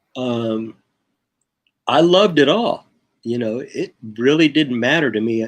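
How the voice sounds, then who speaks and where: A man is speaking. He keeps a moderate pace. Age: 60s. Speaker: bassist and record producer. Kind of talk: casual interview. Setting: online video call livestream. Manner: halting, many fillers and repeats.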